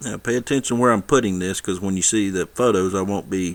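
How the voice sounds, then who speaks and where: In a very clean recording with a silent background, a man with a very deep, low pitch talks at a fairly quick pace with ordinary pitch variation. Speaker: miniature painting tutor. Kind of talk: tutorial. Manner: fast; casual.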